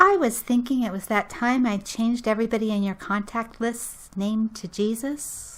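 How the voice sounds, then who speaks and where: A woman speaks in a fairly high, put-on character voice. She barely pauses, and her pitch varies in an ordinary way. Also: moderate pace. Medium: audio drama.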